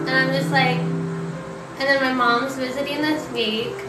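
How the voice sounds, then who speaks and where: Music plays in the background as a woman speaks in a raised, projected voice. Her pace is very slow. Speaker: content creator. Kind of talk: casual live stream chat. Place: home room. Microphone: phone near.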